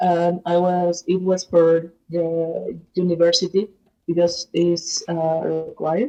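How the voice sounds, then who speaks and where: Speaking at a very slow pace, a woman keeps a monotone, flat intonation in a fairly low pitch with a dark, mellow tone. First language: Spanish. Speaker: researcher, language learner. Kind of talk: casual group conversation. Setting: online voice chat room on a language app. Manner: halting, hesitant.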